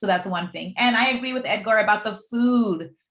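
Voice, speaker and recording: Talking at a very fast pace in a Puerto Rican accent, a woman with a fairly high pitch sounds animated, her pitch varying in an ordinary way. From Puerto Rico. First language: Spanish. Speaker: deaf aspiring astronaut, STEM panelist. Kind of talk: panel discussion.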